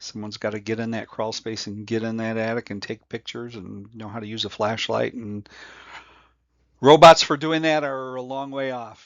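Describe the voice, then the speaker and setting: In an American accent, a man talks at a moderate pace and medium pitch in a normal speaking voice, with ordinary pitch variation and big swings in loudness. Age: 60s. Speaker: home inspection instructor. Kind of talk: tutorial. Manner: casual, with many fillers.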